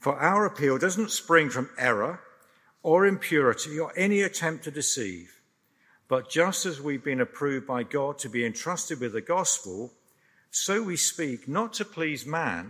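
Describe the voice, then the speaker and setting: In a very clean recording with a silent background, a man with a fairly high, bright and sharp voice speaks fairly slowly, swinging his pitch very widely and dropping into vocal fry. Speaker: scripture reader. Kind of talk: reading aloud.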